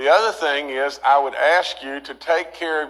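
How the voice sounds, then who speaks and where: A man with an Appalachian accent talks at a fairly slow pace in a fairly high pitch. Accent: Appalachian American. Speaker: state governor. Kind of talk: press briefing. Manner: halting, stuttering, many fillers.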